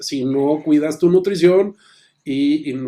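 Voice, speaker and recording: Intonation stays fairly even in a voice with a dark, mellow tone. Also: man. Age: 50s. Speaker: business coach and consultant. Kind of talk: interview.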